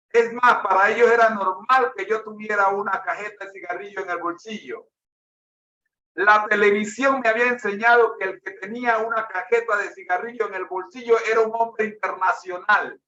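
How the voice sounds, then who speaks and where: A man speaks in a raised, projected voice, his high pitch carrying a bright, sharp tone. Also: fairly even intonation, moderate pace. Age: 60s. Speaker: preacher. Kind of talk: sermon with personal testimony.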